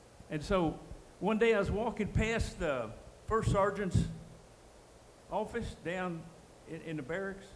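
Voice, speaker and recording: A man with an American accent speaks at a fairly slow pace and high pitch, with ordinary pitch variation, long, frequent pauses and audible room echo. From US South, Dallas, Texas. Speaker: war veteran. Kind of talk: testimony.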